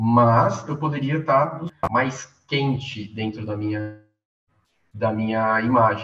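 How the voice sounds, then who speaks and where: A man speaks at a very slow pace with long, frequent pauses. His pitch is medium, with ordinary variation. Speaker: media artist and master's student. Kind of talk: online workshop talk. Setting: video call. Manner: halting.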